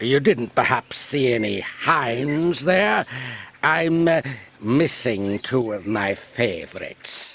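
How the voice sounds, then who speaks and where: Speaking in a put-on character voice at a medium pitch, a man talks very slowly with lively intonation. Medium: read story. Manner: grumpy, haughty.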